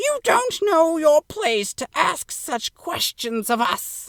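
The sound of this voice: A put-on character voice, extremely high and shrill, moves at a very slow pace with very wide pitch swings.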